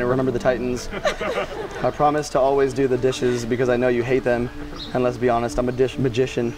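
Noticeable background noise sits under the speech. A man talks at a very fast pace. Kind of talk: wedding vows read aloud. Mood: warm, emotional, playful. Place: garden. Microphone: lapel.

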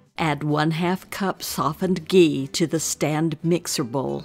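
With music in the background, a woman with a very deep, low pitch speaks at a very slow pace. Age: 80s+. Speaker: retired mathematics teacher, keto cooking channel host. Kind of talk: casual cooking tutorial narration.

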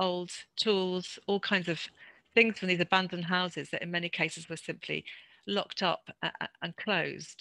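A woman talks at a fairly slow pace with a fairly low pitch, a bright, sharp tone and fairly even intonation, in a dry, close sound with no echo.

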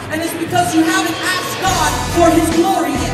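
The room has a strong echo. A man talks while clear music plays behind him. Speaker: preacher or youth leader. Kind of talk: sermon or prayer in a promo video. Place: church. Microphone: pa.

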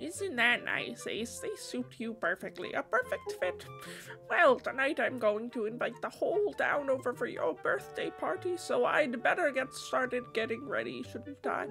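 Someone speaks at a moderate pace in a put-on character voice. Clear music plays in the background. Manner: warm, doting.

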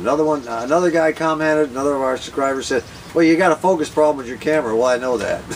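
Light background noise runs under the speech. A man talks at a very fast pace. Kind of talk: casual vlog chat. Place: open country. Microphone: camera far.

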